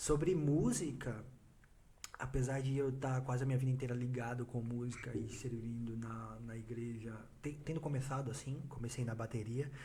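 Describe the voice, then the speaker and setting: Audible room echo surrounds a man at medium pitch who talks at a moderate pace with fairly even intonation. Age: 20s. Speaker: church youth leader. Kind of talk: casual chat.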